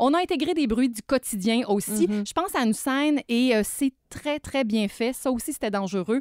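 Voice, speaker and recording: Woman with a high pitch and lively intonation, hardly any pauses, on a very clean recording with a silent background. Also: moderate pace, dry, close sound with no echo. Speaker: dance and visual arts columnist. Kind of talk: cultural review.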